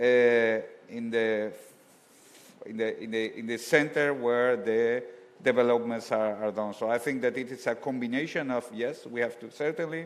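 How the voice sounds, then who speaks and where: A man's medium-pitched voice with a Spanish accent, at a moderate pace and with fairly even intonation. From Spain. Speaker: science policy official. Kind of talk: panel discussion. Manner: halting.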